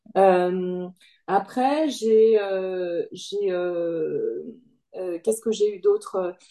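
A woman with a dark, mellow tone speaks at a fairly high pitch, her intonation lively. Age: 50s. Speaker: coaching client, part-time employee and self-employed. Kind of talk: interview testimony. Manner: hesitant, many fillers and repetitions.

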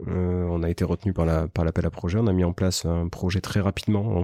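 A man speaks with a very deep, low pitch and a dark, mellow tone. His intonation is fairly even, and the recording is very clean with a silent background and a dry, close sound with no echo. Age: 30s. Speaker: startup founder and CEO. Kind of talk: interview. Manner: hesitant, many fillers.

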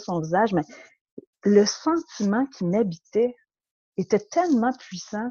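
A dark, mellow tone with ordinary pitch variation and a dry, close sound with no echo. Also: woman. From Quebec, Montreal. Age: 40s. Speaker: podcast guest sharing life story. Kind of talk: personal testimony interview. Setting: remote interview.

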